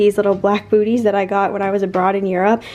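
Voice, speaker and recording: A woman with a medium-pitched voice speaks with fairly even intonation. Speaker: vlogger, works in healthcare. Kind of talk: casual vlog talk. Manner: fast.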